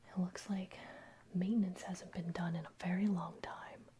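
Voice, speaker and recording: Whispering at a fairly slow pace, the speaker keeps a calm tone. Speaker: ASMR roleplay performer playing an airplane mechanic. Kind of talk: ASMR roleplay, personal attention. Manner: soft-spoken, whispered, calm.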